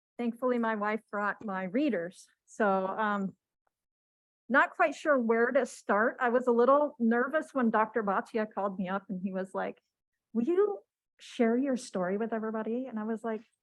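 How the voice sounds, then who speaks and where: Soft-spoken and with an American accent, a woman talks at a moderate pace in a fairly high pitch with ordinary pitch variation. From Washington state, US. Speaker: cancer patient sharing her story. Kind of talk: testimony. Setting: stage with audience, microphone.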